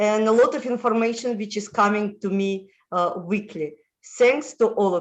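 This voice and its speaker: Here a woman speaks with a Russian accent. Her pace is fairly slow and her pitch variation ordinary. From Moldova, former Soviet Union. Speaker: international lifestyle consultant. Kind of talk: interview. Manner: halting, many fillers.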